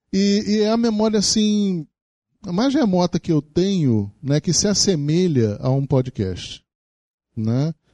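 A man with a high pitch and a dark, mellow tone speaks at a very slow pace, with very wide pitch swings and very even loudness. The sound is dry and close with no echo, over a quiet background. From Rio de Janeiro, Brazil. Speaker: professor. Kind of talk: lecture. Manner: halting.

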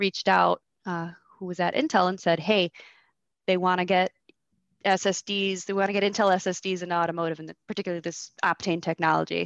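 The background is quiet, and the sound is dry and close with no echo. A woman with a fairly low pitch speaks at a moderate pace in a monotone, flat way. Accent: American. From US Midwest, Michigan. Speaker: technical sales manager. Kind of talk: casual interview chat.

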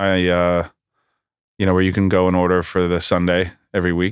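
The recording is very clean, with a silent background. A man with a very deep, low pitch speaks at a moderate pace. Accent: New York. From New York area, US. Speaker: bagel shop founder. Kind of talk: casual interview. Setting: studio.

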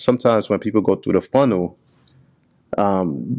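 A man has a normal speaking voice, fairly low in pitch with ordinary pitch variation. He talks at a moderate pace against a quiet background. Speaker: podcast host. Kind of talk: casual interview chat. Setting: in person at a shop.

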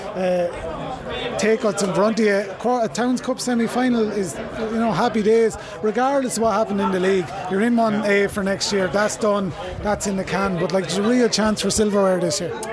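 Crowd noise sits in the background as a man speaks at a moderate pace. His voice is high-pitched, with fairly even intonation. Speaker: radio reporter interviewing rugby player. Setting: outdoors at rugby ground.

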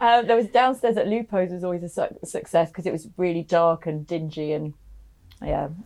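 Speaking fairly quickly with lively intonation, a woman has a fairly low pitch and a normal speaking voice. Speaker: podcast host and voiceover agency founder. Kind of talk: casual interview chat. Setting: studio.

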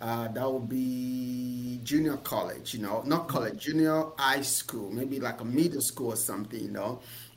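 A man with a medium pitch speaks with hardly any pauses. Noticeable background noise and audible room echo fill the recording. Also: fairly even intonation, moderate pace. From Nigeria. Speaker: business coach and entrepreneur. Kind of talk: interview.

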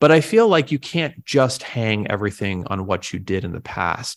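In a very clean recording with a silent background, a man speaks at a fairly low pitch with lively intonation. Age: 30s. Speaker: winery executive. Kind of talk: interview. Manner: halting, many repeated words and fillers.

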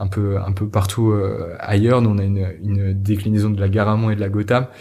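Recorded very cleanly against a silent background, a man with a dark, mellow tone and a somewhat breathy, fairly low voice speaks at a moderate pace in a monotone, flat intonation. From Normandy, France. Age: 20s. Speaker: entrepreneur. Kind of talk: interview. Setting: coworking space. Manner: halting, many fillers and repetitions.

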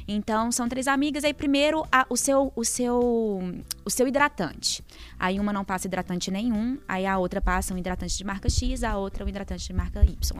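The pitch shows ordinary variation, and the pace is moderate. It is an ordinary speaking voice. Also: woman, fairly high pitch for a woman. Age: 20s. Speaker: journalist. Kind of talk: casual chat. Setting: studio.

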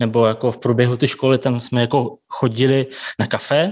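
Fairly even intonation and a Russian accent come through in a very clean recording with a silent background. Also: man. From Kazakhstan and Siberia, Russia. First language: Russian (speaking Czech). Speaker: café and bakery owner. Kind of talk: interview.

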